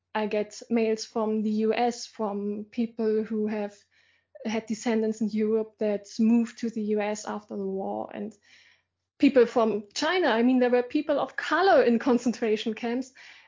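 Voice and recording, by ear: A woman's fairly high voice, slightly mellow in tone, with fairly even intonation at a moderate pace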